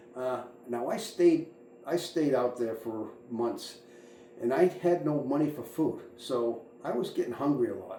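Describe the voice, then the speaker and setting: Someone with an American accent talks at a fairly slow pace with ordinary pitch variation, amid audible room echo and noticeable background noise. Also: man, fairly high pitch for a man. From suburban Boston area, US. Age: 60s. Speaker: fuel truck driver and channel host. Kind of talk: personal monologue, life story. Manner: halting, many fillers and repetitions.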